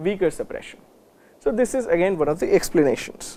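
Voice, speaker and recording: A man with an Indian accent speaks fairly quickly in a dark, mellow tone. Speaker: university lecturer. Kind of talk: lecture. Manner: hesitant, many fillers.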